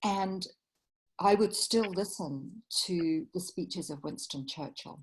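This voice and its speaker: A woman with a London accent speaks very slowly and somewhat breathily, her intonation lively and her loudness swinging widely. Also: medium pitch for a woman. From England, London. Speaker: writer and facilitator. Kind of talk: interview.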